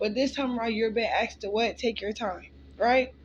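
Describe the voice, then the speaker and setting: Her pitch is fairly high for a woman. She keeps her intonation fairly even. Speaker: tarot reader. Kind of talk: collective tarot reading. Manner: casual, filler-heavy.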